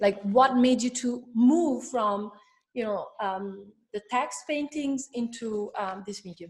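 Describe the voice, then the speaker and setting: With an Italian accent, a woman talks at a very slow pace and a fairly high pitch. Her loudness swings widely. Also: ordinary pitch variation. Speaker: curator. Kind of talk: interview.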